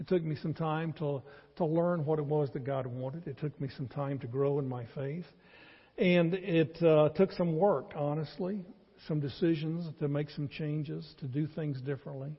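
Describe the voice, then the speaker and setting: A somewhat breathy, fairly high-pitched male voice with a Southern US accent and ordinary pitch variation. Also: moderate pace. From North Carolina. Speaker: pastor. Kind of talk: sermon. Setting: church.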